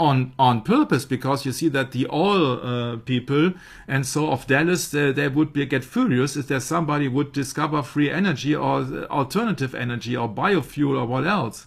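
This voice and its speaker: Vocal fry marks this man's fairly high-pitched voice as he talks with hardly any pauses. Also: ordinary pitch variation, moderate pace. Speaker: researcher presenting a study. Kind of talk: discussion of a prepared study. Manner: halting, with frequent fillers.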